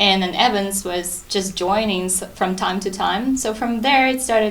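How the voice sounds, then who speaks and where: With a Russian accent, a woman speaks at a moderate pace amid noticeable background noise and audible room echo. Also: medium pitch for a woman, ordinary pitch variation. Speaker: interview guest. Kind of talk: TV interview.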